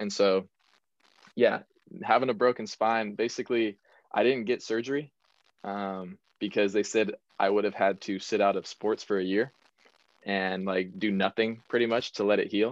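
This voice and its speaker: Fairly even intonation at a moderate pace, long, frequent pauses, and a dry, close sound with no echo. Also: man, fairly low pitch for a man. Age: 20s. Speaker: former college baseball player. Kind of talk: interview.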